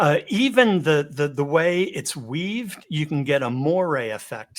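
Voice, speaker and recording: A man with a fairly high pitch talks at a fairly slow pace with lively intonation. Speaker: communication and video presence trainer. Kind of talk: webinar presentation. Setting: live webinar over video call. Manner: varied pace and volume.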